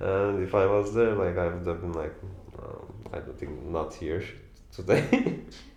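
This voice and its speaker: With a Turkish accent, a man talks at a fairly slow pace in a very deep, low voice, his loudness swinging widely and his pitch varying in an ordinary way, with noticeable background noise and audible room echo. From Turkey. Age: 20s. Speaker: tattoo artist. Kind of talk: documentary interview. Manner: halting, many fillers.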